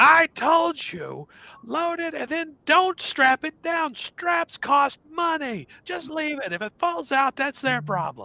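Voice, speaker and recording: A put-on character voice, high-pitched and loud. It moves at a fairly slow pace with hardly any pauses. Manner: loud, angry, dismissive.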